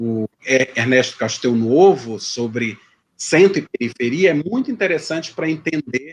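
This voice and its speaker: A man is speaking. His pace is moderate. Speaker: history professor. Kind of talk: lecture Q&A. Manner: hesitant, many repetitions.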